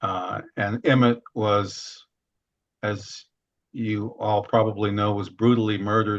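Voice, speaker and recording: Against a quiet background, a man with an American accent speaks at a very slow pace in a fairly low pitch with monotone, flat intonation. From US Midwest, Chicago then Seattle. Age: 70s. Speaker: diversity consultant and author. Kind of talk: personal storytelling. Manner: halting with many fillers.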